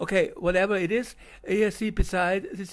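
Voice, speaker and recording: A man speaks with a German accent. His pitch variation is ordinary. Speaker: video commentator. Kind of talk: video narration. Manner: halting.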